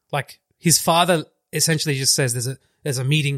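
A man at a medium pitch speaks with fairly even intonation and a somewhat breathy voice, recorded with a dry, close sound and no echo. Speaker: podcast co-host. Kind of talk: casual chat.

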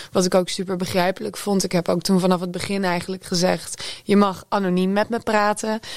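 A woman talks at a fairly quick pace with hardly any pauses and a monotone, flat intonation. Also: medium pitch for a woman. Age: 20s. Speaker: music journalist. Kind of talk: panel discussion. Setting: studio.

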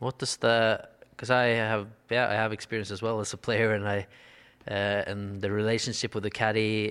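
In a Norwegian accent, a man speaks at a fairly slow pace with monotone, flat intonation and a fairly low pitch. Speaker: golf podcast co-host, former player. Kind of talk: casual interview. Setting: in a house. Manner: halting.

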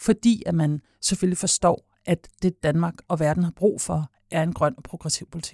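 Speaking at a fairly slow pace, a woman has a dark, mellow tone and fairly low pitch. Her intonation stays fairly even in a dry, close sound with no echo. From Copenhagen, Denmark. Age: 40s. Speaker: party leader. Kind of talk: interview. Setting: studio.

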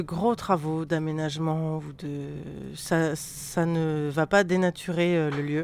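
Over a silent background, a very clean recording captures a woman speaking. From Paris suburbs, France. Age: 30s. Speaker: goat farmer. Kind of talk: casual interview on farm. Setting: outdoors on a farm.

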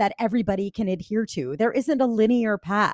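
A woman speaks at a fairly quick pace in an animated tone and a fairly high pitch, on a very clean recording with a silent background. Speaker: author and grief speaker. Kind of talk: casual interview. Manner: talkative, animated.

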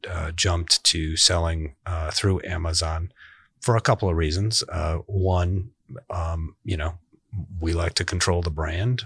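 A man's very deep, low voice with fairly even intonation, dry and close with no echo, over a quiet background. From US Midwest, Chicago far south side. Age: 40s. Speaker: company CEO. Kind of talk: interview conversation. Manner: frequent hesitations (uh, um).

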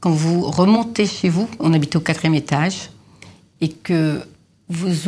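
A woman's fairly low, somewhat breathy voice at a very slow pace, with ordinary pitch variation, in a very clean recording with a silent background. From Lebanon (Beirut). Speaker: perfumer. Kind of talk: interview. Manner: hesitant with fillers.

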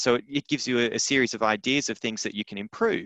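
With an Australian accent, a man talks at a very fast pace with ordinary pitch variation. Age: 30s. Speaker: playwright and arts business educator. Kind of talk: interview. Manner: hesitant, repeats words.

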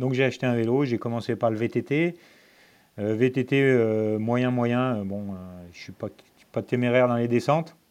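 Medium-pitched male speech, fairly slow and fairly even in intonation, broken by long, frequent pauses over a quiet background. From Lyon, France. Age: 40s. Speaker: amateur ultra-distance cyclist, electrical business owner. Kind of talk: casual chat. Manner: calm.

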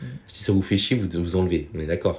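This man has a very deep, low voice. Its tone is dark and mellow. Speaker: podcast guest. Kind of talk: casual chat. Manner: animated.

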